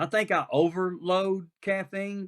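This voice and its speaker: A man with a Southern US accent is heard with a dry, close sound with no echo. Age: 60s. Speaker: pastor. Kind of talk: casual chat.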